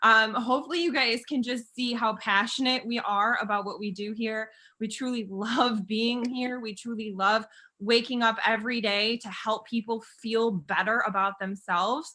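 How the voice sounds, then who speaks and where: An animated woman speaks with an American accent at a fairly high pitch. Her tone is bright and sharp. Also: moderate pace. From US Midwest, Chicago area. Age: 30s. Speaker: network marketing presenter. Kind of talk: sales pitch.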